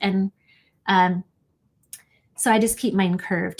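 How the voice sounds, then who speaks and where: Somewhat breathy speech from a woman, delivered at a moderate pace. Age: 50s. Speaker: digital art teacher. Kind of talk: tutorial. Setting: livestream.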